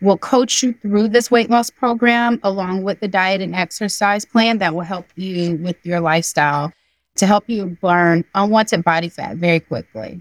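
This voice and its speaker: This woman speaks with an American accent in an ordinary speaking voice, at medium pitch and a moderate pace, with ordinary pitch variation. The recording is very clean and dry, close with no echo, over a silent background. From US South, Georgia. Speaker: nurse practitioner. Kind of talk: interview.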